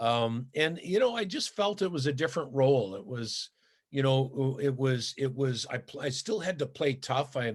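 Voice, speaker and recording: In a Canadian accent, a man speaks with lively intonation and a somewhat breathy sound. The background is quiet. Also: medium pitch for a man, moderate pace. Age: 60s. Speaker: former pro hockey player. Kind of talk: interview. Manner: halting, many fillers and repetitions.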